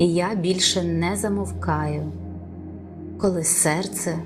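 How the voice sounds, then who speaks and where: A soft-spoken woman talks very slowly in a very deep, low voice with very wide pitch swings. Music plays in the background amid audible room echo. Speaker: voice-over artist. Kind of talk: affirmation reading.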